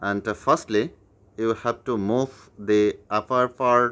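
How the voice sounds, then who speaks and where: Over a silent background in a very clean recording, a man with a non-native accent speaks at a very slow pace, his medium pitch moving with ordinary variation. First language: not English. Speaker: YouTuber teaching puzzle tricks. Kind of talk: tutorial. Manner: halting with fillers.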